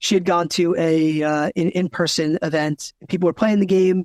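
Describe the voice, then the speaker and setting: A man speaks loudly at a high pitch. The sound is dry and close with no echo, over a quiet background. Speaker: narrative designer. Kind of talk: casual chat. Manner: talkative, animated.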